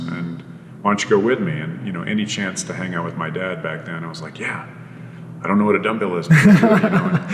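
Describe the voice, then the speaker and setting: Fairly low in pitch, a man speaks at a very fast pace with very wide pitch swings and big shifts in loudness. The room echo is audible and background noise is noticeable. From Ontario, Canada. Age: 40s. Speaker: fitness trainer. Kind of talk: casual chat.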